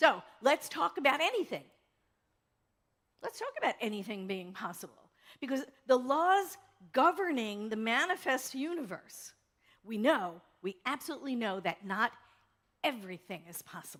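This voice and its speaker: A woman's high-pitched voice with an American accent, very wide pitch swings, big swings in loudness and long, frequent pauses. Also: moderate pace. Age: 60s. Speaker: pastor. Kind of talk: sermon. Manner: animated.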